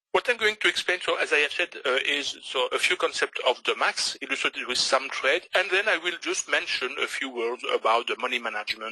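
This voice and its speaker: A man speaks with a Belgian French accent, and the sound is dry and close with no echo. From Belgium. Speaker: forex trader. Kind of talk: webinar presentation. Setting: online webinar. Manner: hesitant, many fillers.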